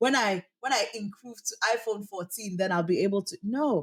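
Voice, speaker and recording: Here a woman speaks at medium pitch with a South African accent. Her pace is moderate and her intonation lively. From Cameroon. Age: 20s. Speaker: voice actor. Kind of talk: interview answer.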